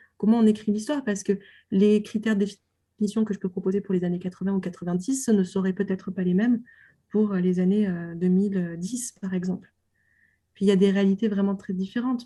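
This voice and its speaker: A woman speaks at a fairly quick pace in a medium pitch with fairly even intonation. Her tone is dark and mellow and somewhat breathy. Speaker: doctoral researcher on film. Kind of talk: interview. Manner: hesitant, many fillers.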